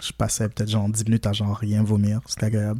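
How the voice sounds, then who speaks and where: At a fairly quick pace, a dark, mellow tone comes through a very clean recording with a silent background. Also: man. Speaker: podcast co-host. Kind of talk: casual chat.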